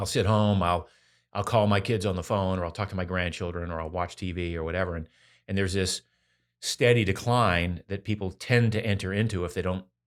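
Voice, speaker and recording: Very deep and low, a man's voice moves at a fairly quick pace with fairly even intonation on a very clean recording with a silent background. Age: 60s. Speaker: health and fitness author. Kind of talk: interview conversation.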